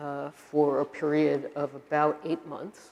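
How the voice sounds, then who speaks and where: The speaker is a woman. She talks with a Brooklyn accent. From US Northeast, Brooklyn, New York. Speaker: university administrator and professor. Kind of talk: lecture.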